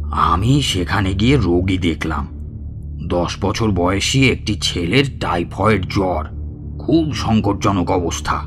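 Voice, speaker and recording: Over loud music in the background, a man puts on a character voice, very deep and low, moving at a fairly slow pace. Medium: audio drama. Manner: boastful, familiar, addresses listener as 'bhaya'.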